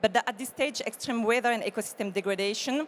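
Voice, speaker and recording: Ordinary pitch variation from a woman with a French accent. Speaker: corporate sustainability expert. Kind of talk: panel discussion.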